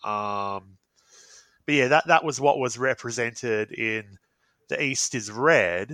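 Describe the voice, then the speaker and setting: A man with an Australian accent speaks very slowly with long, frequent pauses, his medium-pitched voice bright and sharp in tone, in a very clean recording with a silent background. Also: ordinary pitch variation, dry, close sound with no echo. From Australia, Perth suburbs. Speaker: guest host. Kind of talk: casual chat.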